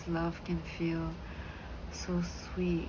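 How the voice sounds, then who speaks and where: A woman speaks at a very slow pace. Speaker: ASMR wellness channel host. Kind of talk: ASMR sleep guidance, whispered self-healing talk. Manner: whispered, gentle, soothing.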